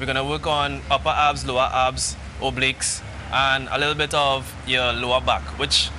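Noticeable background noise behind a man speaking at moderate speed. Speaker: guest. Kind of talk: interview answer. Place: street. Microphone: lapel.

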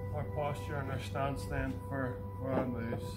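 A man talks while clear music plays in the background. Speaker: exercise instructor. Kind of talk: tutorial. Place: garden.

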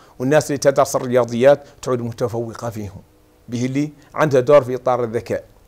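A man's dark, mellow tone, flat and monotone, at a fairly quick pace. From Mauritania, Hodh El Gharbi (Aioun); Mauritania. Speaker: martial arts federation president and lab technician. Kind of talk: TV interview at home. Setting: at home. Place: home room. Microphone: lapel.

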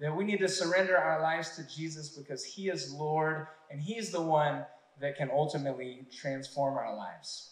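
Audible room echo surrounds a man whose voice is fairly high in pitch. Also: ordinary pitch variation, moderate pace. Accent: American. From Texas, Odessa. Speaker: church minister. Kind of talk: testimony. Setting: church. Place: stage.

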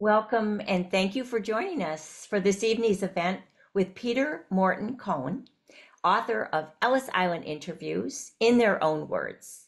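The setting has a quiet background. A woman talks at a fairly slow pace. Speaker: interviewer, event host. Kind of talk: interview host introduction. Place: home room. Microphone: video call.

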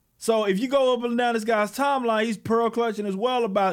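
Over a quiet background, a man with an American accent talks at a fairly quick pace in an extremely high pitch and an animated tone. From Texas. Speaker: political commentator and comic book creator; political commentator, comic book creator. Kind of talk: political rant monologue. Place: home room. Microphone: studio mic.

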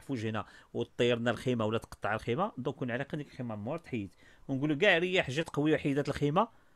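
Talking at a very fast pace, a man with a Moroccan accent uses lively intonation. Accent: Moroccan Darija. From Morocco. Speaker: study skills coach and author; study skills coach. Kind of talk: online workshop talk. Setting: video call. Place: office. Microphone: studio mic.

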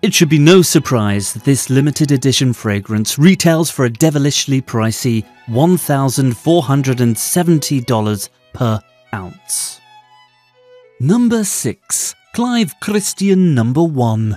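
A man with a British accent speaks fairly slowly, his pitch fairly high and his intonation lively. Music plays in the background. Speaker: fragrance and beauty product YouTuber. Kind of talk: documentary-style list narration.

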